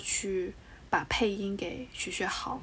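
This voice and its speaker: This woman's voice sits at a medium pitch. She talks very slowly. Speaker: podcast co-host. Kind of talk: casual chat.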